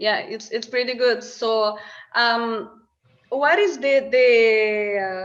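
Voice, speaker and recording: Speaking at a very slow pace, a woman with a non-native accent has a fairly high pitch and ordinary pitch variation. Audible room echo surrounds her voice. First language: not English. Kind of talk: casual interview chat. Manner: halting.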